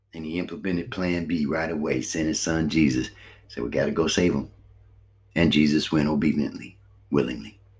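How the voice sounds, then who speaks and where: Speaking at a fairly quick pace, a man with a very deep, low pitch and vocal fry shows ordinary pitch variation. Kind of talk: sermon. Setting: home recording late at night. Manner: fervent preaching with repetitions and fillers.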